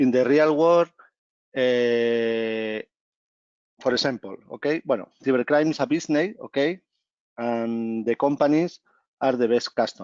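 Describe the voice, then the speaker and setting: A man with a Spanish accent at a fairly slow pace, medium pitch and ordinary pitch variation, with long, frequent pauses. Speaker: company executive. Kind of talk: presentation. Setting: video call. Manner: halting.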